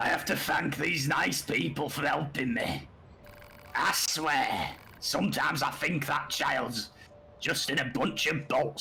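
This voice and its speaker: Putting on a raspy character voice at fairly high pitch, a man speaks at a fairly slow pace against clear background noise. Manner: scolding, fretful.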